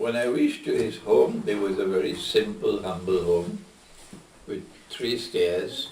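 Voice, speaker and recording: Audible room echo surrounds a man's voice. Noticeable background noise is also present. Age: 70s. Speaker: islamic scholar. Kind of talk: q&a lecture.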